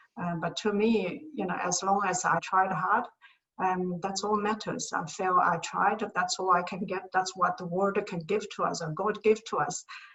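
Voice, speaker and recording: A woman speaks in a medium pitch at a moderate pace. Her intonation stays fairly even. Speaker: materials science engineering professor. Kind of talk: interview. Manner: soft-spoken; halting.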